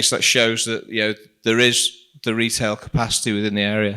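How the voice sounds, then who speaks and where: In a Liverpool accent, a man speaks at a moderate pace and medium pitch with a bright, sharp tone. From Liverpool, England. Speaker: shopping centre director. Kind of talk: presentation. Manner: casual, with frequent fillers.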